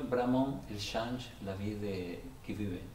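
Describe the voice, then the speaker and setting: A man with a Spanish accent and fairly low pitch, amid audible room echo and noticeable background noise. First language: Spanish (speaking French). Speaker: Salvation Army officer, pastor. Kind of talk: testimony. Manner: halting, many repetitions.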